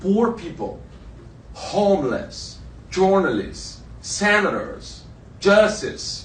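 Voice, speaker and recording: With a Brazilian Portuguese accent, a man speaks at a very slow pace with long, frequent pauses, in audible room echo. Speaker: journalist. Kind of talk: panel talk. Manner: halting.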